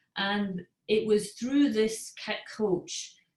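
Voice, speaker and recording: A woman with a Scottish accent. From Scotland. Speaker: parent coach. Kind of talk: webinar talk.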